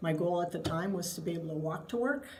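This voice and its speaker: A woman with an American accent at a fairly low pitch and a very fast pace, with noticeable background noise and audible room echo. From Wisconsin, US Midwest. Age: 60s. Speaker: state agency head, retired navy officer. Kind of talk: interview.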